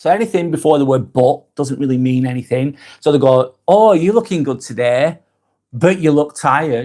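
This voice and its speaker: A man with a northwest English accent speaks at a moderate pace in a fairly high pitch. His dark, mellow tone carries lively intonation. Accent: broad northwest English. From northwest England. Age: 40s. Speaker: live vlogger. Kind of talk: live stream monologue. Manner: casual.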